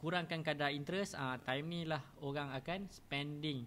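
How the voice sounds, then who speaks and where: With a bright, sharp tone, a man talks at a moderate pace in a fairly high voice with fairly even intonation. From Malaysia. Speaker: stock trading educator; stock trading teacher. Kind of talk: live-streamed tutorial. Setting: live stream with sensitive mic, team adjusting sound. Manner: casual, repetitive with many fillers. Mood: relaxed, friendly.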